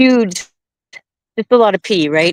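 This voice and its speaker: The pitch moves with ordinary variation. The sound is dry and close, with no echo. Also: woman. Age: 50s. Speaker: carnivore diet guest with diabetes. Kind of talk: personal story in a live stream chat. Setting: live stream video call while out walking. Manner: halting, with many false starts.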